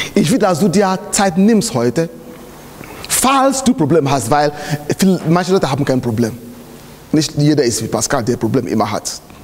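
Pausing long and often, a man speaks at a fairly high pitch and moderate pace, his pitch swinging very widely while his loudness stays very even. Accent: non-native. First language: not German (speaking German). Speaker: pastor. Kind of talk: sermon. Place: church.

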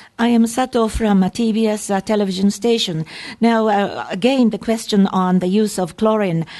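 A woman's dark, mellow tone at a fairly slow pace, with fairly even intonation, very even loudness and a quiet background. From Japan. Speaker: conference interpreter. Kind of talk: consecutive interpretation. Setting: press conference. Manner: formal. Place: hall.

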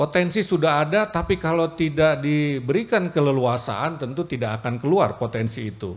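Using an ordinary speaking voice, a man talks at a moderate pace with hardly any pauses, lively intonation and a fairly high pitch. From Jakarta; Indonesia. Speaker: government official giving speech; public speaker. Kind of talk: formal speech. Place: hall. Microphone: podium.

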